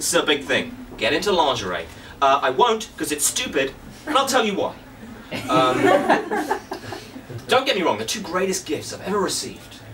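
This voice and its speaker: Long, frequent pauses from a man at a moderate pace, with noticeable background noise. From England. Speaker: stand-up comedian. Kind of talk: stand-up comedy set, crude self-deprecating bits about his marriage and body. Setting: stage with live audience. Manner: dry, mock-confessional delivery with stammered restarts; playful crowd-baiting asides. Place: stage.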